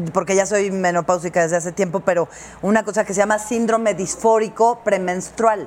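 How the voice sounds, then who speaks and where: A woman with a medium-pitched voice talks fairly quickly. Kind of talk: casual chat. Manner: animated.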